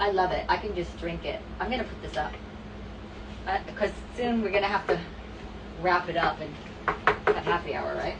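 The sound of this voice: A woman with a fairly low pitch, ordinary pitch variation and a moderate pace, with clear background noise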